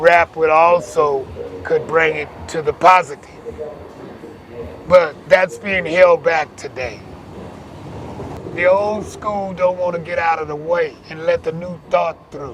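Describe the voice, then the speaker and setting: The speech is very slow, with long, frequent pauses, fairly even intonation, big swings in loudness and noticeable background noise. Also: man, high pitch for a man. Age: 80s+. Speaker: community elder and youth worker. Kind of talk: interview.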